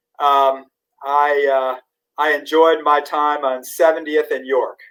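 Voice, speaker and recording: Very slowly and in a monotone, flat delivery, a man talks with an American accent. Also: fairly high pitch for a man. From US Midwest, St. Louis. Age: 60s. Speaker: physician and public health advisor. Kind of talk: interview. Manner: halting, many fillers.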